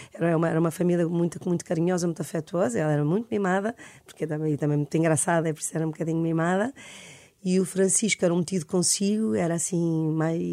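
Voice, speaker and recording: With a dark, mellow tone and fairly low pitch, a woman talks at a very fast pace with fairly even intonation on a very clean recording with a silent background. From Portugal, Lisbon. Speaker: psychologist and author. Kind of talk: radio interview. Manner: halting, many repetitions.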